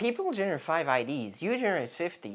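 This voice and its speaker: The speaker talks at a moderate pace with a non-native accent. The recording is very clean, with a silent background. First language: not English. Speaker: content creator. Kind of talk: screen-share tutorial. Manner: halting, many self-corrections; casual.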